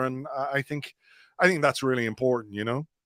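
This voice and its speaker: Recorded very cleanly with a silent background and a dry, close sound with no echo, a man with an Irish accent talks fairly quickly at a medium pitch. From Ireland. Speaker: football blogger and podcaster. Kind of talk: casual chat.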